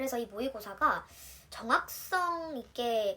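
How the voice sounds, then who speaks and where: Over noticeable background noise, a woman speaks in a fairly high pitch with lively intonation. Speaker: nurse. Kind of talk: tutorial. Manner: casual, chatty.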